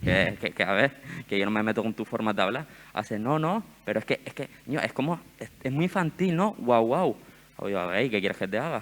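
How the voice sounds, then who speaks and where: A man speaks at a fairly quick pace in a medium-pitched voice. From Gran Canaria. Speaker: summer university panel participant. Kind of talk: panel discussion. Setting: stage with audience. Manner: animated.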